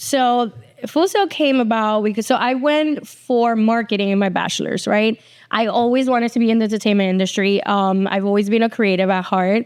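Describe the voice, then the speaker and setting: A woman with a slight Puerto Rican accent speaks at a fairly quick pace and a fairly high pitch. Her loudness is very even, and her pitch variation is ordinary. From Puerto Rico, then New Jersey from age eleven. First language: Spanish. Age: 40s. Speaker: TV executive producer. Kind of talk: casual interview chat. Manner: casual, with many fillers.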